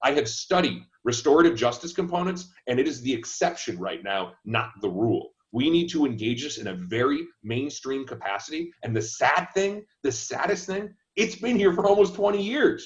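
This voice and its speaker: Speaking with hardly any pauses, a man uses a fairly high voice with vocal fry and very wide pitch swings. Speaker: candidate for state attorney. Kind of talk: panel discussion. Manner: fast.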